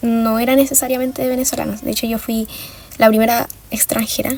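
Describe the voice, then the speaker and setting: A woman talks at a fairly quick pace in a fairly high pitch, her intonation fairly even. Noticeable background noise sits behind her. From Venezuela, moved to Chile at ten. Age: 20s. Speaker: design student, activist. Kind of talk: documentary interview testimony.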